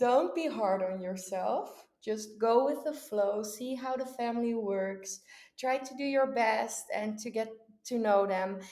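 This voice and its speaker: A woman with a Dutch accent speaks fairly slowly in a fairly high voice with a dark, mellow tone, with audible room echo. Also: ordinary pitch variation. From Netherlands, Texel island. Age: 20s. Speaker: au pair. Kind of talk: interview.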